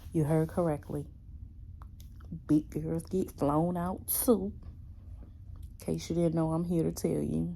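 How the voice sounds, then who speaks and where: A woman talks at a fairly slow pace. She leaves long, frequent pauses. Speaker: vlogger. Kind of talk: casual vlog talk. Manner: whispering.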